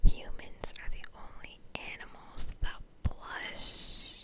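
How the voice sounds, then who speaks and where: Over noticeable background noise, a speaker whispers at a very slow pace. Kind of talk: whispered ASMR fun-facts narration over gameplay. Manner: whispered, soft.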